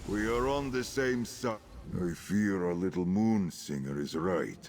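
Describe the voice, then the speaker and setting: A man uses a put-on character voice with a solemn tone at a moderate pace. Clear music plays in the background. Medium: video game. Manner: formal, solemn.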